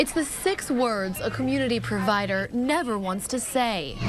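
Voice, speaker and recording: Background noise is noticeable behind a woman's voice. Her pitch is fairly high and swings very widely. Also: moderate pace. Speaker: TV news reporter. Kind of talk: TV news report.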